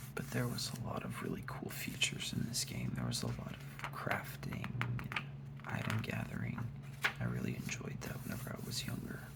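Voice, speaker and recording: The speech is a whisper delivered at a moderate pace. Noticeable background noise can be heard as well. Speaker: ASMR creator. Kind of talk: ASMR unboxing, soft-spoken talk. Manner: soft-spoken.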